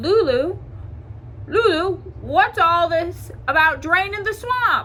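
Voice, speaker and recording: Over clear background noise, a woman uses a put-on character voice at an extremely high pitch and a very slow pace. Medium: read story.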